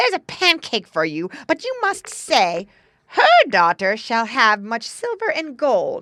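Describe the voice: In a put-on character voice, a woman speaks slowly at a fairly high pitch with a bright, sharp tone and very wide pitch swings, the sound dry and close with no echo.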